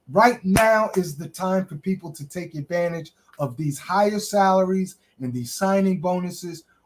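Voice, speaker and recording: A plain, everyday voice from a man, with ordinary pitch variation and a moderate pace. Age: 60s. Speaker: workforce development advisor. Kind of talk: interview.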